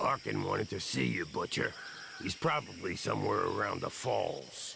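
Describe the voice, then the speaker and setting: Doing a put-on character voice, a man speaks at a moderate pace over clear background noise. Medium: video game. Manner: authoritative, clipped.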